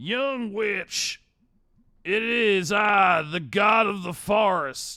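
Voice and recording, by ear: A man puts on a character voice in a Southern accent, pitched high and spoken at a very slow pace.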